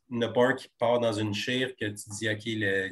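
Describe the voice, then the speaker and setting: A somewhat breathy man with a Quebec accent, fairly low in pitch, flat and monotone, at a fairly slow pace. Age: 40s. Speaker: TV comedy screenwriter. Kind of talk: interview conversation.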